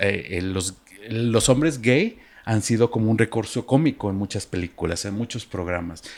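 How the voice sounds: A man with a slightly mellow tone talks at a moderate pace, showing ordinary pitch variation.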